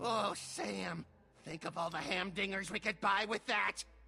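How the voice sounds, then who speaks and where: A man performs a put-on character voice, raspy and high in pitch. He keeps a moderate pace with a raised, projected voice. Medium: video game. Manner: gleeful.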